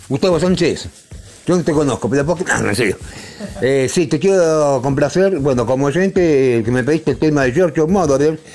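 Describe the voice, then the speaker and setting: With a Rioplatense accent, a man speaks at a fairly high pitch and a moderate pace, with ordinary pitch variation and very even loudness, over noticeable background noise. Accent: Argentine Rioplatense Spanish. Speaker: radio co-host. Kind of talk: casual radio chat.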